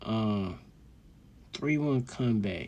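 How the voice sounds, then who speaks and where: This man speaks at a very slow pace in a dark, mellow tone. His pitch varies in an ordinary way. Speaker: solo vlogger rambling to himself. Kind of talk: casual monologue. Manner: animated; whispering.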